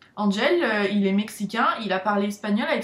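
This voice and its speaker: Against noticeable background noise, a woman talks in a fairly high voice. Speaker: vlogger, student abroad. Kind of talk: casual vlog talk.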